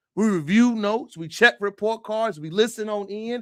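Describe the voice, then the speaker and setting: An American-accented man with a high pitch speaks in an animated tone with ordinary pitch variation. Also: dry, close sound with no echo, very clean recording, silent background. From United States. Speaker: livestream commentator. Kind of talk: live stream commentary.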